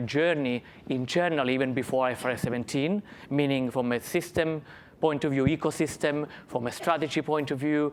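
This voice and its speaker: A man with an Italian accent talks at a fairly quick pace. His pitch is fairly high and varies in an ordinary way. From Italy. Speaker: finance consultant, conference speaker. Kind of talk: conference presentation.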